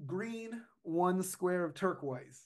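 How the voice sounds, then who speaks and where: A man in an American accent, high pitched, at a very slow pace with ordinary pitch variation. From US. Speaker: paranormal researcher and author. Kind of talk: casual chat.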